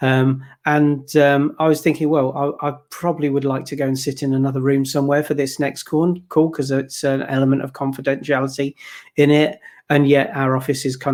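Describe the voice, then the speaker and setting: A man speaks at a fairly quick pace. His pitch is fairly high and his intonation flat and monotone. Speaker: podcast co-host on workplace technology. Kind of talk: casual panel discussion. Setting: home office call. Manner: loud.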